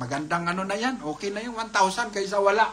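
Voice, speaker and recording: A man with a high voice projects loudly over noticeable background noise. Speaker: livestream raffle host. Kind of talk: live raffle stream. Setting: live stream.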